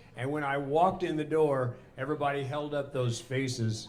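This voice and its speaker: Audible room echo surrounds a man's fairly high-pitched voice. He keeps a moderate pace and fairly even intonation. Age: 70s. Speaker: singer-songwriter. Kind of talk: stage banter.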